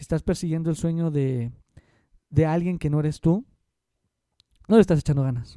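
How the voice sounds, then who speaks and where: This man's tone is dark and mellow, and he speaks at a fairly quick pace with long, frequent pauses. His loudness swings widely, and the sound is dry and close with no echo. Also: fairly high pitch for a man, ordinary pitch variation. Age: 20s. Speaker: podcaster and private math tutor. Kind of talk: solo podcast monologue.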